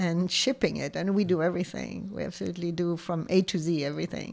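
A woman talks at a moderate pace with a fairly low pitch. Her intonation is fairly even, and the recording is very clean with a silent background. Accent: French. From southern France, near Montpellier. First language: French. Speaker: shop owner. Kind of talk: interview.

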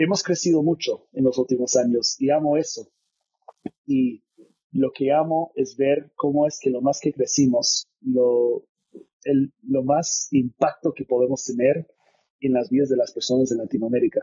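Fairly slow and fairly even, a man with an American accent speaks at a fairly high pitch. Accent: American (gringo) accent in Spanish. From California, US. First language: English (speaking Spanish). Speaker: business executive. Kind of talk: interview.

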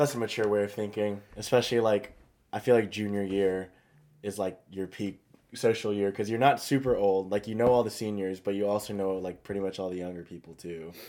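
Fairly quick and fairly even in intonation, this is an unremarkable speaking voice with big swings in loudness. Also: man, fairly low pitch for a man. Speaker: student podcast host. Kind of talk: casual chat.

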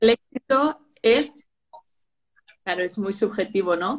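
A woman is speaking. She has a Spanish accent. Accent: Peninsular Spanish. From Spain. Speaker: social media manager. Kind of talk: interview on a live stream.

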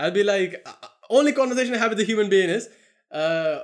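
A man speaks with an Indian accent in a high voice. His intonation is lively. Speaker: podcast host. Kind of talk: casual chat. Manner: animated.

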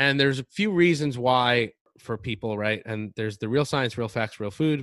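A man has an ordinary speaking voice with ordinary pitch variation. The sound is dry and close with no echo, on a very clean recording with a silent background. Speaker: podcast co-host, bodybuilder and nutrition coach. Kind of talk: casual chat, telling his story.

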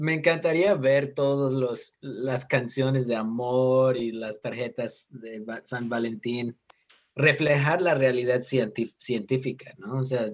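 A man's very slow speech at a medium pitch. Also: ordinary pitch variation. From United States. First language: English (speaking Spanish). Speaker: guest, host's husband. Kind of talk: casual chat.

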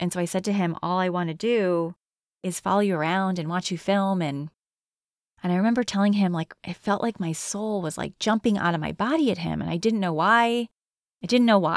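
An unremarkable speaking voice at a moderate pace with ordinary pitch variation, on a very clean recording with a silent background and a dry, close sound with no echo. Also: woman. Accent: American. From Connecticut. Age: 40s. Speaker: podcast host. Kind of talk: solo reflective monologue.

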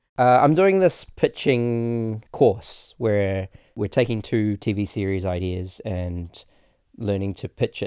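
On a very clean recording with a silent background and a dry, close sound with no echo, a man talks at a fairly low pitch with a dark, mellow tone and ordinary pitch variation. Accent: New Zealand. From New Zealand. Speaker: filmmaker. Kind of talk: casual chat.

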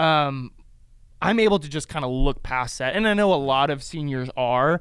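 A man's ordinary speaking voice, fairly high in pitch, with ordinary pitch variation at a moderate pace on a very clean recording with a silent background. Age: 20s. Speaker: youth ministry podcast co-host. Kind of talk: casual chat.

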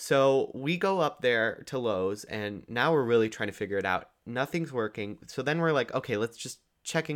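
In a very clean recording with a silent background, a man with a plain, everyday voice talks at a moderate pace, using lively intonation and hardly any pauses. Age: young. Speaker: podcast co-host, recent high school graduate. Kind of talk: casual chat. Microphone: new microphone.

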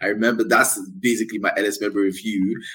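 A man with a Nigerian accent talks in a fairly low voice with ordinary pitch variation. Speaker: podcast host. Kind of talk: casual interview.

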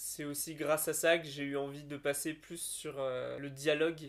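A man's fairly high voice, flat and monotone, at a fairly slow pace. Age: 20s. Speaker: landscape designer and podcast co-host. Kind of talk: casual chat.

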